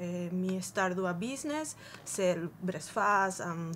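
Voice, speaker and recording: With noticeable background noise behind her, a woman speaks at a medium pitch in a Spanish accent. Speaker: migrant small business owner. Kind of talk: TV interview.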